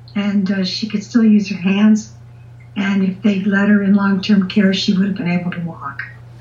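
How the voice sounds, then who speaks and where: Amid noticeable background noise, a woman speaks at a moderate pace and medium pitch with ordinary pitch variation. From Canada, southern Ontario. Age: 70s. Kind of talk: interview answers, casual chat. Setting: phone or video call.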